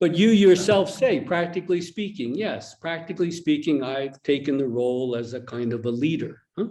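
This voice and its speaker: With an American accent, a man with a high pitch and a dark, mellow tone speaks at a moderate pace, with lively intonation and hardly any pauses. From United States. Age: 60s. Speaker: Zen teacher. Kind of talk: dharma talk with dialogue. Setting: online retreat video call.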